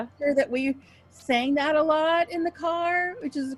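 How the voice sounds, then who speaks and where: With music in the background, a woman speaks in a high pitch with an American accent. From Oklahoma. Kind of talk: interview answer. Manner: casual, chatty.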